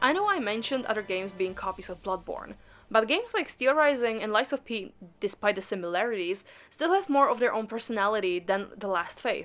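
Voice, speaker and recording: A woman with a non-native accent speaks at a fairly quick pace, her fairly high voice carrying lively intonation. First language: not English. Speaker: gaming YouTuber. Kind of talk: casual commentary video. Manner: casual, rambling.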